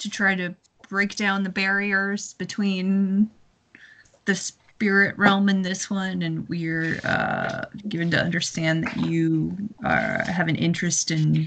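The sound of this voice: The delivery is slow, with vocal fry, a fairly bright tone and lively intonation. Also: woman.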